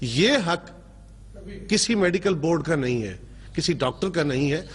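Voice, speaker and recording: The man speaks at a moderate pace. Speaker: political talk show panelist. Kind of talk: televised debate. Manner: formal.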